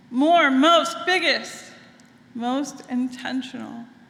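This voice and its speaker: In a room with audible echo and noticeable background noise, a woman talks fairly slowly in a high voice. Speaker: minister. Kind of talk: sermon. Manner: conversational, engaging audience.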